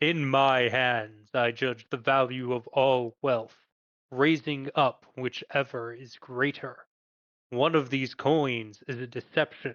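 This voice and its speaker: At a fairly slow pace, a man puts on a booming character voice with a medium pitch. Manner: commanding, ceremonial.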